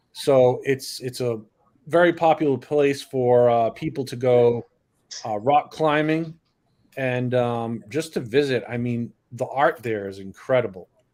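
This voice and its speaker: A man with a slight Northeastern US accent, medium pitch, ordinary pitch variation and a fairly slow pace. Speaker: drone hobbyist livestream panelist. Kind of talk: casual chat.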